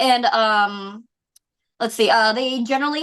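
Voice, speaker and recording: A woman's high, bright, sharp voice with a West Coast US accent over a quiet background. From US Pacific Northwest (Seattle). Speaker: idol singer. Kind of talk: interview. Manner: halting, many fillers.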